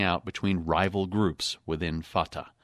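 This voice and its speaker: A man with an unremarkable speaking voice and fairly low pitch talks at a moderate pace, recorded very cleanly against a silent background with a dry, close sound and no echo. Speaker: foreign correspondent. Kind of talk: news reading, scripted radio report. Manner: formal, steady, measured.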